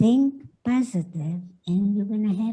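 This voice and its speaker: A woman with a non-native accent speaks in a dark, mellow tone at a medium pitch, somewhat breathy. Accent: foreign. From Carpathian Mountains, Czechoslovakia. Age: 90s. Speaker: Holocaust survivor. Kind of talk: testimony.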